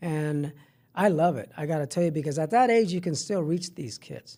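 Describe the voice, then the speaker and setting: With a Spanish accent, a man speaks fairly quickly in a high-pitched voice that has a dark, mellow tone. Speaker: middle school health teacher. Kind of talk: podcast interview. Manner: halting, many repetitions.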